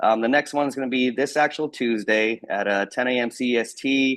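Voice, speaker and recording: A man speaks in an energetic, upbeat tone with ordinary pitch variation. The background is quiet. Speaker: team meeting host for real estate network. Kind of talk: online team meeting announcements. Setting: live video call with screen share. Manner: fast.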